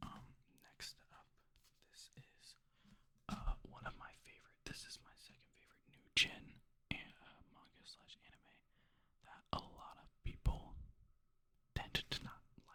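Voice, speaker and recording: The voice is whispering at a fairly slow pace. Long, frequent pauses break it up. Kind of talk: casual talk to camera. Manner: whispered.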